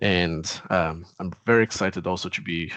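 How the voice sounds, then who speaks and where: A man speaks with a Brazilian accent in a very deep, low voice. His intonation is fairly even. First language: Portuguese. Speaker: technology executive. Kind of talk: webinar self-introduction.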